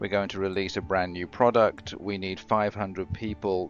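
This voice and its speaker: A man with an English accent, very deep and low in pitch, monotone and flat at a moderate pace, over music in the background. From England, London. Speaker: corporate learning and development director. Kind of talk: interview.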